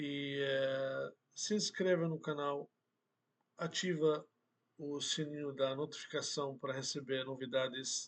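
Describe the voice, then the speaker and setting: This man has an Arabic accent. He speaks at a very slow pace with monotone, flat intonation. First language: Arabic (speaking Portuguese). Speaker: Arabic language teacher. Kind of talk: online language lesson.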